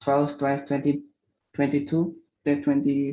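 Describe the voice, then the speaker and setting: With an Indonesian accent, a man speaks at a moderate pace over a quiet background. His fairly high voice has a dark, mellow tone and a monotone, flat intonation. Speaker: startup founder. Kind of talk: pitch presentation. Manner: halting.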